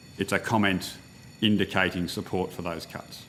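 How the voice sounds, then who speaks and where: A very deep, low male voice with an Australian accent and fairly even intonation. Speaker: senator. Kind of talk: parliamentary questioning. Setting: Senate committee hearing room. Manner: fast.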